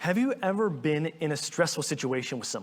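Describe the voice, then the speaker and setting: A man with an unremarkable speaking voice, fairly high in pitch and lively in intonation. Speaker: pastor. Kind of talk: sermon.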